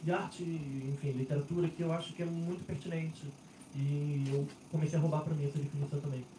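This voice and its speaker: A man at a fairly high pitch and fairly quick pace, monotone and flat, with very even loudness amid noticeable background noise. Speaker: literary critic, moderator. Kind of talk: panel talk at bookstore event. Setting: stage with audience.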